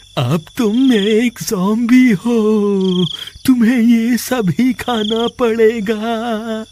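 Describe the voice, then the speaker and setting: In a cartoonish character voice, a man speaks with a high pitch at a very slow pace. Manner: gloating, menacing, laughing.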